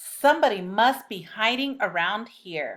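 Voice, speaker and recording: A woman growls in a put-on character voice with a fairly high pitch and lively intonation at a moderate pace, on a very clean recording with a silent background. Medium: read story.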